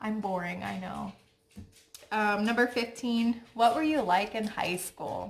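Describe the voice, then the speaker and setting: A soft-spoken woman with a Midwestern US accent, fairly high in pitch, fairly slow, with ordinary pitch variation. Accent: US Midwest. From Ohio, Cincinnati. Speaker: lifestyle vlogger. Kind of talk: casual chat.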